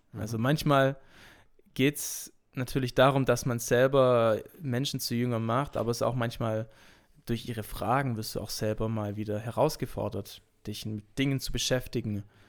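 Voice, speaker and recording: Here a man with a plain, everyday voice speaks at a medium pitch and a moderate pace, his intonation fairly even. The recording is very clean, with a silent background. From Swabia, Germany (Urbach). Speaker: pastoral assistant and teacher. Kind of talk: casual interview chat.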